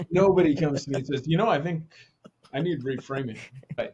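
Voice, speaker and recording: In an American accent, a man speaks somewhat breathily with ordinary pitch variation. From New Jersey. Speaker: leadership consultant and author. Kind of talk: podcast interview. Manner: casual, hesitant with fillers.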